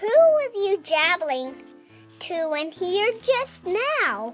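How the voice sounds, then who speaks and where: A put-on character voice speaks at a very slow pace. Faint music plays in the background. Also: woman. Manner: booming.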